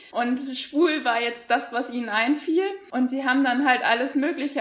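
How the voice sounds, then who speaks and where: Noticeable background noise sits behind a woman talking in a high voice. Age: 30s. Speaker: school teacher. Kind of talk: casual interview.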